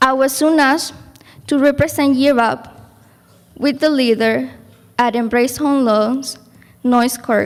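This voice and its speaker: A woman with a Spanish accent, high-pitched, at a fairly slow pace with long, frequent pauses, very even loudness and fairly even intonation. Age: young. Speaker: program graduate, class speaker. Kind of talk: graduation speech.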